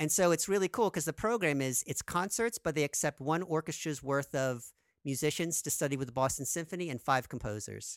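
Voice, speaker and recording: A man with a plain, everyday voice talks at a fairly quick pace with hardly any pauses, in a fairly high pitch with lively intonation. The recording is very clean, with a silent background and a dry, close sound with no echo. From US, New Jersey. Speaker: film composer and music professor. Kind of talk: interview.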